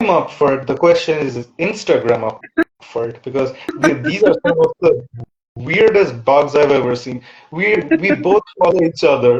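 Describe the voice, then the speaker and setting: Somewhat breathy and fairly high-pitched, a man talks at a moderate pace with very wide pitch swings and long, frequent pauses. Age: young. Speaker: thriller author. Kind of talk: casual interview chat. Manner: halting.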